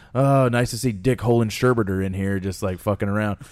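Here a man talks with a Southern US accent. He keeps a moderate pace and ordinary pitch variation. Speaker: podcast host and wrestling trainer. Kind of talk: casual chat.

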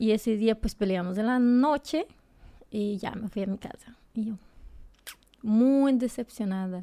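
A woman's fairly high, dark and mellow voice with a Brazilian accent, ordinary pitch variation, a fairly slow pace, and long, frequent pauses. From Brazil, near the Bolivian border. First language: Portuguese (speaking Spanish). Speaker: nurse. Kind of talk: casual interview chat.

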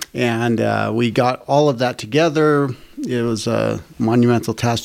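A man speaks in a normal speaking voice with an American accent. His pitch varies in an ordinary way, and his pace is fairly slow. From Boston area, Massachusetts. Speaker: technical college administrator. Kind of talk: interview.

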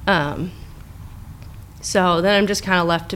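A woman talks at a moderate pace with a fairly low pitch and vocal fry. Her intonation is monotone and flat. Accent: American. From Orange County, California. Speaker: therapist. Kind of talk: personal testimony in interview.

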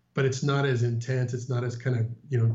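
Here a man talks at a fairly quick pace with a medium pitch. His voice is somewhat breathy and his intonation monotone and flat. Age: 50s. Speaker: Disney vacation guest sharing trip report. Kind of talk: casual interview chat.

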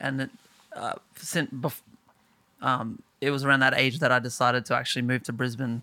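With an Australian accent, a man speaks at a moderate pace and medium pitch, his tone bright and sharp, his intonation monotone and flat, and his pauses long and frequent. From small town in Australia. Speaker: singer-songwriter. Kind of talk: casual chat.

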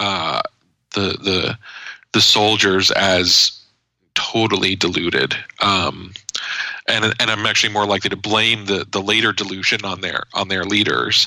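A man talks at a fairly slow pace in a normal speaking voice with an American accent. His pitch is fairly low, with ordinary pitch variation. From New Jersey, US. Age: 30s. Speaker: journalist and author. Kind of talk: interview conversation. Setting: podcast interview.

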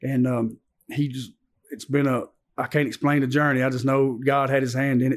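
This man speaks with a Southern US accent at medium pitch. His pace is moderate and his intonation monotone and flat. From Antioch, Nashville, Tennessee. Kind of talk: testimony.

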